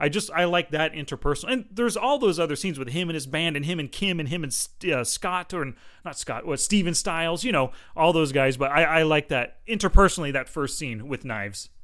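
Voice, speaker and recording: Intonation is lively in an ordinary speaking voice. Pacing is fairly quick, and the very clean recording has a silent background. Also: man, fairly high pitch for a man. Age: 40s. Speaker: movie podcast co-host. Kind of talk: casual chat. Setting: studio.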